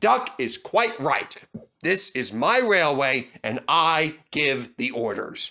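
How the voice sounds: In a put-on character voice, a man speaks slowly in a fairly high, booming voice with a bright, sharp tone and lively intonation.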